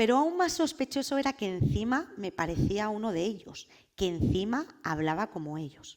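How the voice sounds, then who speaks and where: In a very clean recording with a silent background, a woman with a Madrid accent speaks at a fairly high pitch, her voice swinging very widely up and down. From Spain, Madrid. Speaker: political scientist and activist speaker. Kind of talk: personal testimony talk.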